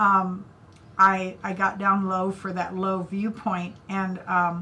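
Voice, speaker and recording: A woman talks at a very slow pace with an American accent, her pitch medium and her intonation monotone and flat. Noticeable background noise runs underneath. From US Midwest (Indiana). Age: 70s. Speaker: artist and retired art teacher. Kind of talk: interview.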